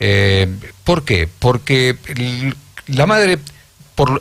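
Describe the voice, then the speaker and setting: This man's voice sits at medium pitch and is somewhat breathy. His pitch swings very widely. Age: 70s. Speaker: radio host. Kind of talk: radio interview.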